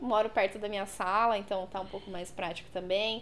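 A woman speaks over noticeable background noise. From São Paulo ABC region, Brazil. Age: 20s. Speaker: body piercer. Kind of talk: casual interview.

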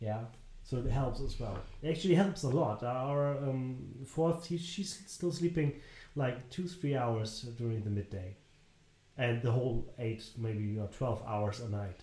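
A medium-pitched man at a fairly slow pace, lively intonation, and noticeable background noise. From northern Germany. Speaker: parenting podcast co-host, father. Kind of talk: casual chat.

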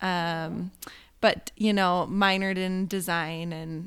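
In a very clean recording with a silent background, a woman with an American accent speaks at a fairly low pitch with fairly even intonation. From Oregon, US Pacific Northwest. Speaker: graphic designer and hand letterer. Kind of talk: casual chat. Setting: living room, in person, shared microphone.

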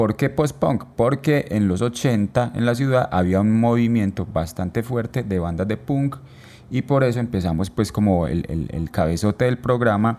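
A man with an Antioquian accent speaks at a fairly slow pace in a dark, mellow tone, fairly low in pitch with lively intonation. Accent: Colombian paisa Spanish. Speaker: musician and photographer, podcast co-host. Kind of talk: casual chat. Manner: halting, frequent repetitions.

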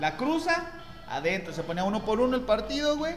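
There is audible room echo and noticeable background noise around this man as he talks. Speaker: football podcast host. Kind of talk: casual chat.

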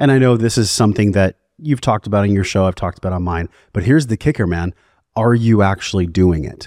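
The speech comes at a very fast pace with ordinary pitch variation, on a very clean recording with a silent background and a dry, close sound with no echo. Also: man, fairly low pitch for a man. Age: 40s. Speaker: wellness podcast host and breathwork facilitator. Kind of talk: casual chat; guided breathing instruction.

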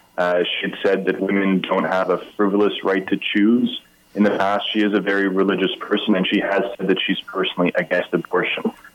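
Noticeable background noise sits under a man who speaks at a fairly quick pace. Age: 30s. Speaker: politician. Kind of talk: political interview. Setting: phone call.

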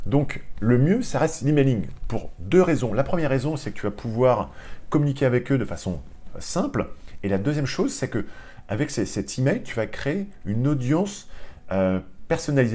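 The pitch swings very widely, with vocal fry throughout. The tone is dark and mellow. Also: man. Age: 40s. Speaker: online training entrepreneur and business school lecturer. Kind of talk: tutorial. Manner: casual and hesitant, with many fillers.

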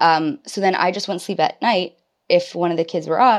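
This woman has an ordinary speaking voice at a medium pitch. She talks at a fairly quick pace over a quiet background. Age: 20s. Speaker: stay-at-home mother and human resources worker. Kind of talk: casual chat.

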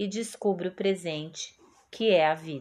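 This is a woman speaking at medium pitch. She has an ordinary speaking voice. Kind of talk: poetry reading aloud. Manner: calm, slow, soothing and reflective.

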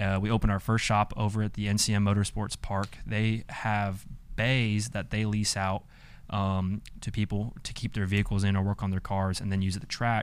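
A man's fairly low, monotone, flat voice on a very clean recording with a silent background. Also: moderate pace. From Atlanta, Georgia. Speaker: small business owner. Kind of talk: casual interview. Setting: office studio with camera.

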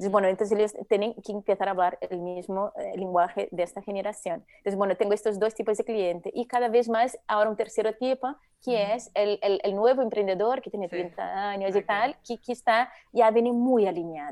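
A woman's fairly high voice with a Brazilian accent, dark and mellow in tone, fairly even in intonation, at a fairly quick pace with hardly any pauses. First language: Portuguese (speaking Spanish). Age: 40s. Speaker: eco-designer. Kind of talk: interview.

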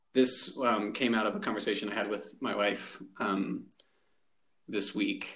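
Amid audible room echo, a man with vocal fry speaks fairly slowly at a fairly low pitch, with fairly even intonation and long, frequent pauses. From rural Arizona. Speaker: podcast host. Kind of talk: casual chat.

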